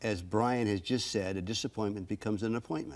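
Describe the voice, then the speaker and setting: A man speaks in an ordinary speaking voice, fairly low in pitch, at a moderate pace with ordinary pitch variation. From Canadian Prairies. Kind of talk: TV interview. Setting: studio. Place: studio. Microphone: lapel.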